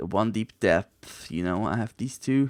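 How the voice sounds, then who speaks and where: Speaking very slowly with a non-native accent, a man with a fairly low pitch uses lively intonation, recorded dry and close with no echo in a very clean recording with a silent background. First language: not English. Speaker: gaming video creator. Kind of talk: let's play commentary. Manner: casual, conversational.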